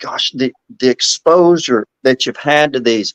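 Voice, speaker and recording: Fairly high in pitch and fairly even in intonation, a man with an Alabama accent talks in a dry, close sound with no echo. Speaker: podcast host. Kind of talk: casual interview.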